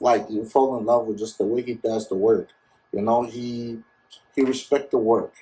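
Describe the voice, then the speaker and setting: This man's voice has a dark, mellow tone, a somewhat breathy quality and a monotone, flat intonation. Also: medium pitch for a man, moderate pace. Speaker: DJ and MC. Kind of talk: casual interview.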